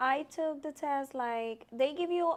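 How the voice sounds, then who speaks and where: In a very clean recording with a silent background, a woman with a Puerto Rican accent speaks at a fairly slow pace. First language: Spanish. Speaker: army sergeant. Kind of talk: interview. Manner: halting.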